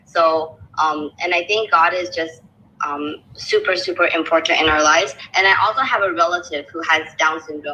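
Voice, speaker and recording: A woman keeps a moderate pace, her intonation fairly even. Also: fairly low pitch for a woman. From China, raised in US and Canada. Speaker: nutrition graduate. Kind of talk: casual chat. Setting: audio chat room. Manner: halting.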